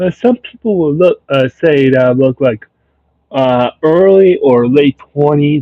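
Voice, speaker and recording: Keeping very even loudness, a man speaks in a fairly high pitch with lively intonation. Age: 30s. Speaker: livestreamer. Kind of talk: casual livestream chat. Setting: live stream. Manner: hesitant, filler-heavy.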